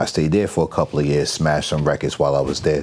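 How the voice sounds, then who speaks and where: A man speaks in a very deep, low pitch. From New York, Long Island. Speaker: digital marketing agency owner. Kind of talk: podcast interview.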